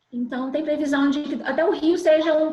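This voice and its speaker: A woman speaks at a high pitch. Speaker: civil registry officer. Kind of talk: webinar panel discussion. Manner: fast.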